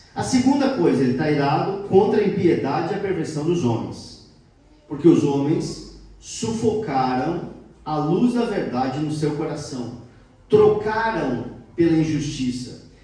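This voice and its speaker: With lively intonation and a fairly high pitch, a man talks at a very slow pace amid audible room echo and noticeable background noise. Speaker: lay preacher. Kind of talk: sermon. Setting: church service.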